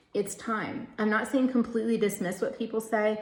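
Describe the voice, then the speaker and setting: The speech moves at a fairly quick pace. Noticeable background noise is present throughout. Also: woman. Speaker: tarot card reader. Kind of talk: tarot reading. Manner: speeds up when channeling; casual, filler-heavy.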